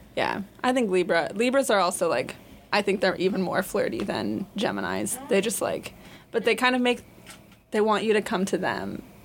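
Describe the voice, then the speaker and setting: The speaker talks at a moderate pace with ordinary pitch variation and audible vocal fry. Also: woman, medium pitch for a woman. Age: young. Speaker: university student, astrology enthusiast. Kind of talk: casual chat.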